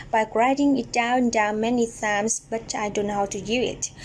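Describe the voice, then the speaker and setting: With a Vietnamese accent, a woman speaks at a fairly high pitch. Her intonation is fairly even. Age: 20s. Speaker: English language student. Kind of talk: prepared speech presentation. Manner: halting.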